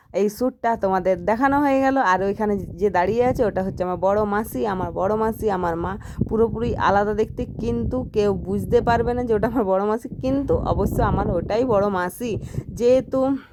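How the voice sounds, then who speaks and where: A woman talks at a fairly high pitch and ordinary pitch variation amid noticeable background noise. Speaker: vlogger. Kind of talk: casual vlog.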